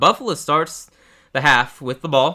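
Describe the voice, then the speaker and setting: On a very clean recording with a silent background, a man with an American accent speaks at a moderate pace in a bright, sharp tone. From Texas. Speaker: sports streamer. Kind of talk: live game reaction commentary. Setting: live stream. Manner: casual, with frequent fillers.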